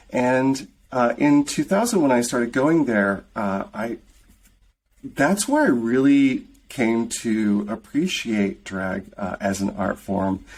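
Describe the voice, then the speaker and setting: On a very clean recording with a silent background, a voice with a Midwestern American accent moves at a very slow pace with lively intonation. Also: man, medium pitch for a man. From US Midwest, rural southeastern Michigan. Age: 50s. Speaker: film creator and director. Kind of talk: interview.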